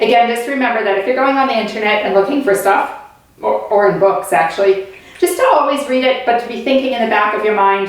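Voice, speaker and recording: A woman speaks at a fairly quick pace in an animated tone, with noticeable background noise and audible room echo. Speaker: teacher. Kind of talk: online lesson for children. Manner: fast.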